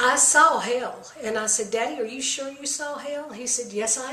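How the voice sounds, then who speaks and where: A woman with a high voice and ordinary pitch variation speaks at a moderate pace, with audible room echo and noticeable background noise. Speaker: medium and psychic. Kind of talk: monologue on spiritual beliefs.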